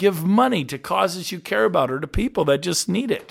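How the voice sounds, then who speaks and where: This very clean recording with a silent background captures a man whose pitch swings very widely. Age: 50s. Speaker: podcast host, real estate leader. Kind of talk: motivational talk.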